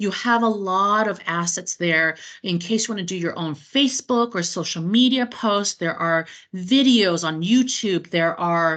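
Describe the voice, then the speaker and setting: A woman speaks fairly slowly in a plain, everyday voice, medium in pitch with ordinary pitch variation. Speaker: cruise line sales representative training travel agents. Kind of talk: webinar training presentation. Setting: online meeting recording.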